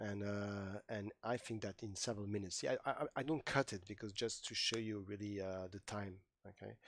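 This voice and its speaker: A man with a non-native accent and fairly low pitch, at a moderate pace, on a very clean recording with a silent background. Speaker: IT trainer. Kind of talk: tutorial. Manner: animated.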